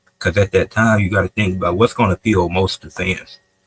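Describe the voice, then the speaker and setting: A somewhat breathy man's voice at a fairly quick pace, with fairly even intonation and a dry, close sound with no echo. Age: young. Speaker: wrestling debate judge. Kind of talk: casual debate commentary.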